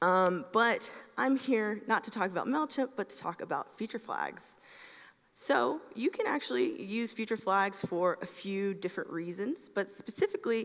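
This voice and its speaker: A woman with a Southern US accent, a fairly high pitch and lively intonation, against a quiet background. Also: moderate pace. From US South, Atlanta, Georgia. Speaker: software engineer, conference speaker; conference speaker. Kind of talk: conference talk. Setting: stage with audience. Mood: friendly, light humour. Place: stage.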